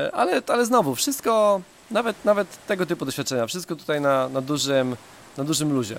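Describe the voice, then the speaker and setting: A man with an ordinary speaking voice, fairly high in pitch, at a fairly quick pace with lively intonation. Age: 30s. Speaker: travel podcaster. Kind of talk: casual monologue. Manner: repeats words often.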